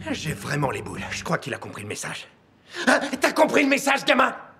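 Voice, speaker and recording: An angry-sounding man speaks at a fairly quick pace with big swings in loudness. Noticeable background noise is present. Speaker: voice actor. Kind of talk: film dubbing. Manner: angry, vulgar.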